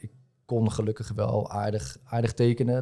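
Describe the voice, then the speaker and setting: In a dark, mellow tone, the man talks at a moderate pace on a very clean recording with a silent background. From Netherlands, Rotterdam. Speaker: tattoo artist and entrepreneur. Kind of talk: casual interview. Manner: hesitant, many fillers and repetitions.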